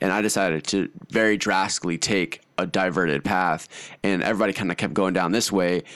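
A man at a fairly quick pace, fairly even in intonation and very even in loudness, against a quiet background. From Austin, Texas (partly raised in Hungary). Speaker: entrepreneur, brand founder. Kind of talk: casual chat. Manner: casual, filler-heavy speech.

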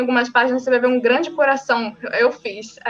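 There is music in the background as a woman talks. Her pitch is high and her pace fairly quick. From Brazil, Rio de Janeiro state (São Gonçalo). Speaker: independent novelist. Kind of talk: casual interview. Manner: talkative.

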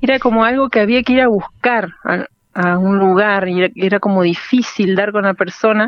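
In an ordinary speaking voice, a woman talks at a moderate pace with medium pitch, ordinary pitch variation and very even loudness. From Argentina, Entre Ríos (Paraná). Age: young. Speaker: singer and music teacher. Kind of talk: radio interview. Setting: phone call.

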